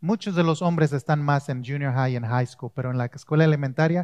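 A man talks in a calm tone at a fairly high pitch with ordinary pitch variation, the sound dry and close with no echo over a quiet background. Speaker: pastor. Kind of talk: sermon. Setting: church with congregation. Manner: calm, never raises voice.

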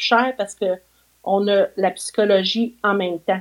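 A woman is speaking. Her pitch is medium. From Quebec, Mauricie region. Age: 50s. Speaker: visually impaired therapist. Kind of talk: interview, life story. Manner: animated.

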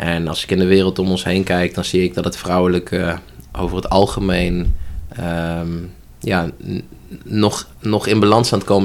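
His delivery holds a moderate pace. The man's pitch is very deep and low. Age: 30s. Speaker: holistic coach. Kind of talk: interview conversation. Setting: upstairs room in a church.

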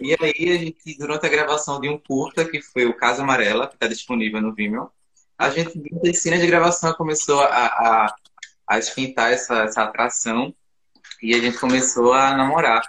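This man has a bright, sharp tone and a fairly high pitch. He talks at a moderate pace with ordinary pitch variation. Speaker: filmmaker. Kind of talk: casual online interview. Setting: video call.

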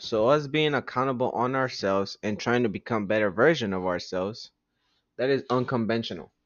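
A man talks in a medium pitch. It is a plain, everyday voice. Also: ordinary pitch variation, fairly quick pace. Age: 20s. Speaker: podcast host. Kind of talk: casual monologue. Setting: at home.

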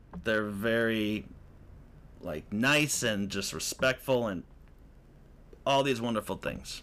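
Bright and sharp in tone, a man speaks at a medium pitch with ordinary pitch variation. His pace is very slow, with long, frequent pauses. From US Midwest, Chicago northern suburbs (Lake County, Illinois). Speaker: podcast host and actor. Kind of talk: casual solo chat.

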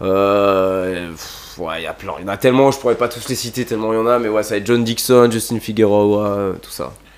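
An unremarkable speaking voice runs at a moderate pace with hardly any pauses, ordinary pitch variation and big swings in loudness. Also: man, fairly low pitch for a man. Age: 20s. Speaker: skate shop employee and skateboarder. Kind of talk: casual chat.

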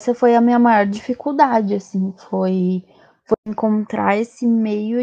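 A woman's fairly high, somewhat breathy voice with a dark, mellow tone, a moderate pace and fairly even intonation, in a dry, close sound with no echo. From southern Brazil, Rio Grande do Sul. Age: 20s. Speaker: advertising professional. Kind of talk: casual chat.

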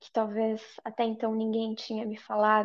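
A woman speaks with a fairly high pitch. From Brazil. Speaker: yoga and tantra teacher. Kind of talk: casual interview chat.

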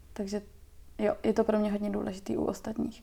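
A voice with a dark, mellow tone speaks at a moderate pace. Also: woman. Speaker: visual activist and illustrator. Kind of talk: casual chat.

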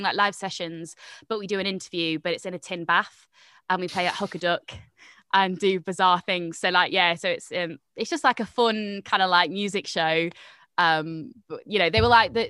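Recorded very cleanly against a silent background, a woman speaks at a moderate pace in a bright, sharp tone, the sound dry and close with no echo. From Nottingham, England. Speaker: broadcaster and presenter. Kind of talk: casual chat.

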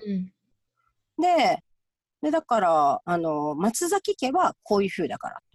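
Pausing long and often, a woman speaks at a fairly slow pace with a fairly high pitch. Her pitch swings very widely, and the sound is dry and close with no echo. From Japan, Gifu. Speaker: clinical counselor. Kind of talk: interview.

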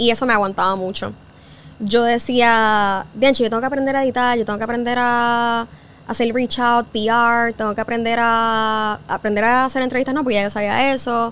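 At a moderate pace, a woman with a Puerto Rican accent speaks at a fairly high pitch in a monotone, flat intonation. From Puerto Rico. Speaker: journalist and podcast host. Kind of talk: interview conversation.

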